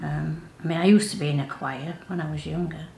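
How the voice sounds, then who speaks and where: In a Yorkshire accent, a woman with a very deep, low pitch talks at a fairly slow pace with ordinary pitch variation, audible room echo and noticeable background noise. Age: 70s. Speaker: workshop participant. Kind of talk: interview. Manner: halting.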